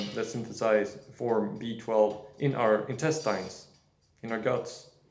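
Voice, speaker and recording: With audible room echo around him, a man speaks in a non-native accent with ordinary pitch variation. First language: not English. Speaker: nutrition video creator. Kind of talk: casual monologue. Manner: halting, many fillers.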